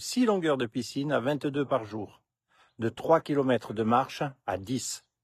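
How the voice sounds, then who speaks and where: A man with a plain, everyday voice and a medium pitch speaks at a fairly slow pace against a quiet background, with a dry, close sound with no echo. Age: 60s. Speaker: health vlogger. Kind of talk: vlog monologue.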